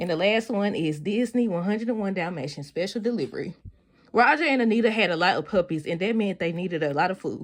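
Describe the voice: Reading aloud, plainly done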